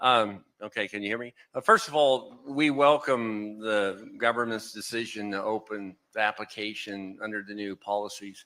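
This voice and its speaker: A man with a Texan accent speaks at a fairly low pitch in a bright, sharp tone, with hardly any pauses. His intonation is fairly even but his loudness swings widely, on a very clean recording with a silent background. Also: moderate pace. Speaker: semiconductor company executive, panelist. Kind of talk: panel discussion.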